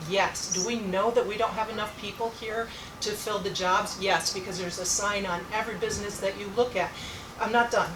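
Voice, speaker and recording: A woman talks at a fairly quick clip in a flat, monotone delivery, with audible room echo and noticeable background noise. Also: medium pitch for a woman. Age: 60s. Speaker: town official. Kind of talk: public meeting debate.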